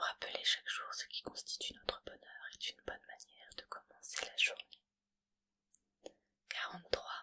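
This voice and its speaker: A woman is whispering at a fairly slow pace. The sound is dry and close, with no echo. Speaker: ASMR creator. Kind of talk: positive affirmations reading. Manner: soft-spoken, slow.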